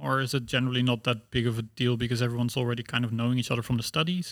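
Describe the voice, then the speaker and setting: In a Dutch accent, a man speaks at a very fast pace with a medium pitch. The recording is very clean and the background silent. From Netherlands. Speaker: student podcast host. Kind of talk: casual chat.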